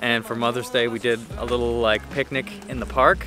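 A man with an American accent at a fairly quick pace, dry sound with no echo, music in the background. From United States. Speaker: vlogger. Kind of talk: casual vlog talk to camera. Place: garden. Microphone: phone near.

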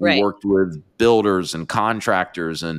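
Ordinary pitch variation runs through a man's very deep, low voice. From North Carolina. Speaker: podcast host. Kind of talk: interview. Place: studio. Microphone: studio mic.

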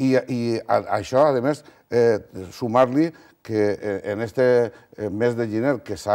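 Over a quiet background, a man's voice has a dark, mellow tone. His pitch sits in the medium range with ordinary variation. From Valencia region, Spain. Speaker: regional politician. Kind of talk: televised political debate. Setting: TV studio. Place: studio. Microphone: lapel.

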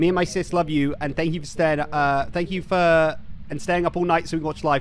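With a Somerset accent, a man talks at a high pitch over light background noise in a dry sound with no echo. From Somerset, England; England. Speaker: streamer. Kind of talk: live gaming stream chat. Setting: online voice chat. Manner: animated. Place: home room. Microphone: studio mic.

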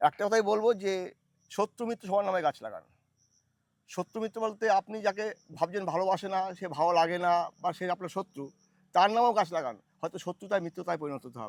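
The recording of a man with a high pitch and ordinary pitch variation has a dry, close sound with no echo. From West Bengal, North 24 Parganas. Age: 50s. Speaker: long-distance cyclist and tree-planting campaigner. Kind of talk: interview.

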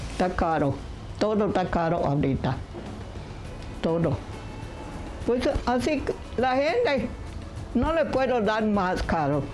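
Speaking at a very slow pace with long, frequent pauses, a woman swings very widely in pitch over light background noise. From Yucatán, Mexico. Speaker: piñata maker. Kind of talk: interview answer. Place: home room.

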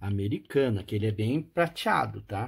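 Somewhat breathy and fairly slow, this man speaks with lively intonation. His pitch sits at a medium level. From Brazil. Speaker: auction seller and retro game collector. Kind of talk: casual show-and-tell commentary. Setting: video. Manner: animated, enthusiastic, with diminutives like 'bonitinho' and 'lindão'. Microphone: phone near.

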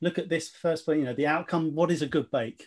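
A man speaks at a high pitch against a quiet background. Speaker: webinar presenter. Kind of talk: webinar presentation. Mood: light, jokey, occasional laughs. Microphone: video call.

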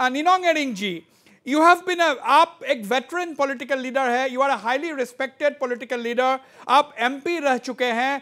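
Pitched extremely high for a man, his bright, sharp voice is raised and projected, with ordinary pitch variation. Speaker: news show host. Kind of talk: televised panel debate. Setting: studio.

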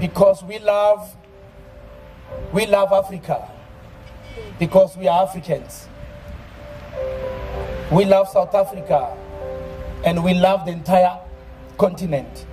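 Faint music plays behind a man speaking at a fairly slow pace with long, frequent pauses. His voice is high-pitched with fairly even intonation. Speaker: preacher. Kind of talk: sermon. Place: open country. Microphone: handheld.

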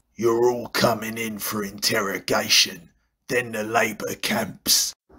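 A man speaks at a fairly slow pace in a raspy, cartoonish character voice of medium pitch. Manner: cocky, menacing.

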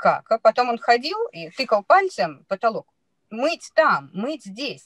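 Over a quiet background, a woman speaks at a moderate pace with very wide pitch swings in a dry sound with no echo. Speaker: parent sharing experience. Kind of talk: testimonial in online seminar conversation. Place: car. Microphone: video call.

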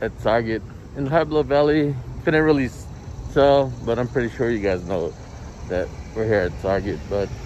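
Heard dry with no echo and over light background noise, a man talks with lively intonation. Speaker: toy hunting vlogger. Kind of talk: casual vlog chat. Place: street. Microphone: phone near.

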